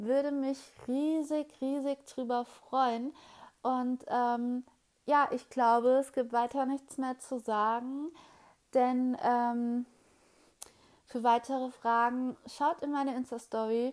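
Over a very clean recording with a silent background, a woman with a high pitch talks at a very slow pace in a monotone, flat intonation, leaving long, frequent pauses. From Hesse, Germany. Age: 20s. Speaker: podcaster. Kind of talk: solo podcast introduction, casual. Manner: hesitant, many filler sounds.

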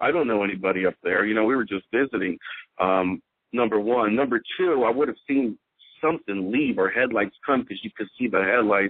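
With an American accent and an ordinary speaking voice, a man talks at a fairly quick pace, his medium pitch showing ordinary variation. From Houston, Texas. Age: 40s. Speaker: witness sharing an encounter. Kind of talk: casual interview storytelling.

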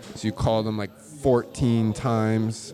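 A man speaks in an animated tone. There is noticeable background noise. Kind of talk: casual chat. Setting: bar.

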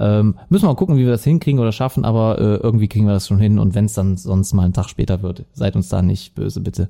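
On a very clean recording with a silent background, a man talks at a very fast pace in a fairly low, dark, mellow voice with ordinary pitch variation. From Lower Rhine, Germany (Viersen). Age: 30s. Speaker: podcast co-host. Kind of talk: casual chat.

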